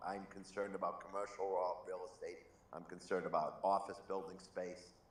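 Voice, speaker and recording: A man speaks at a moderate pace in a fairly low voice, with audible echo in the room. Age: 60s. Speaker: banker. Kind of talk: panel discussion. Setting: group call.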